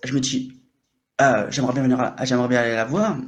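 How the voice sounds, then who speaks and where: A man talks very fast, his tone animated. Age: 30s. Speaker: French tutor and livestreamer. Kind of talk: casual livestream chat. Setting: live stream.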